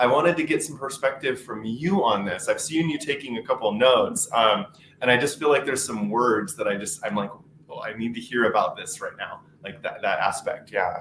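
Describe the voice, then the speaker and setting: Speaking with an American accent at a fairly quick pace, this voice has lively intonation and big swings in loudness over noticeable background noise. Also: man, medium pitch for a man. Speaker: webinar host. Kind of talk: panel discussion.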